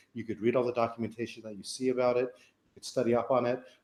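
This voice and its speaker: In an American accent, a man with an ordinary speaking voice and a medium pitch talks at a fairly quick pace. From Florida, US. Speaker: online marketing webinar host. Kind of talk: live webinar panel intro. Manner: casual with many fillers.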